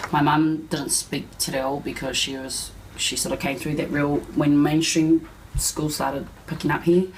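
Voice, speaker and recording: The pace is moderate. Noticeable background noise is heard. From West Auckland, New Zealand. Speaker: interviewee. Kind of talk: interview.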